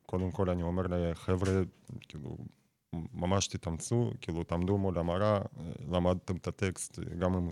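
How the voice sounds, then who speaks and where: Recorded very cleanly against a silent background, a man's very deep, low voice has a dark, mellow tone and a dry, close sound with no echo. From Russia. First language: Russian (speaking Hebrew). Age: 20s. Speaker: battle rap platform founder. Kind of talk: radio interview. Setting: studio.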